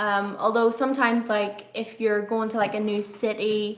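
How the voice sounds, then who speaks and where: A woman speaks in a strong Irish accent at a moderate pace. Her pitch sits fairly high. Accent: pretty strong Irish. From Ireland. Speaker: travel vlogger. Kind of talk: casual live stream chat. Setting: live stream, quiet room.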